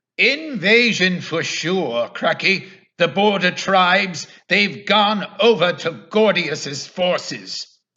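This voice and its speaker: Using a put-on character voice, a man projects a raised, high-pitched voice at a very slow pace. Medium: audio drama. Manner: terse.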